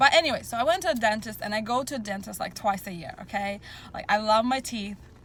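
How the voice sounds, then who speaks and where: A woman talks at a fairly quick pace, pitched fairly high. Her ordinary pitch variation comes through noticeable background noise. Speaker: mom vlogger sharing health tips. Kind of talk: casual vlog monologue. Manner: fast; animated, enthusiastic.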